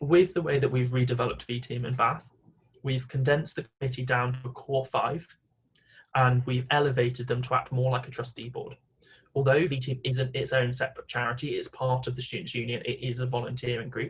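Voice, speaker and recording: At a fairly quick pace, a man speaks in a somewhat breathy monotone of medium pitch, with flat intonation. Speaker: volunteer coordinator. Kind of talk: conference presentation. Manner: fast.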